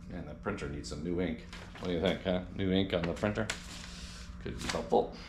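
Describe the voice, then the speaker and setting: A man speaks at a very deep, low pitch with ordinary variation and a fairly quick pace, broken by long, frequent pauses. Noticeable background noise and audible room echo fill the recording. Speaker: car DIY vlogger. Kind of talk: casual tutorial. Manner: halting.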